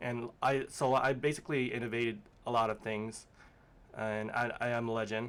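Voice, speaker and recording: A man's medium-pitched voice moves at a moderate speed, with intonation that stays fairly even. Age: 30s. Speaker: former manufacturing worker. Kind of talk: interview. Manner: halting, many fillers.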